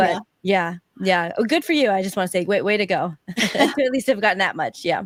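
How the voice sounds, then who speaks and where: With an ordinary speaking voice, a woman talks at a fairly quick pace and medium pitch with lively intonation, the sound dry and close with no echo. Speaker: podcast host. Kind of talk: podcast interview.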